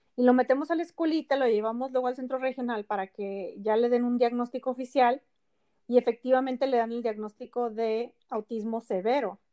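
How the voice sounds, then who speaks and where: Recorded with a dry, close sound and no echo, a woman speaks at a fairly quick pace. Her high-pitched voice has a dark, mellow tone and fairly even intonation. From Ensenada, Baja California, Mexico. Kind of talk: casual interview.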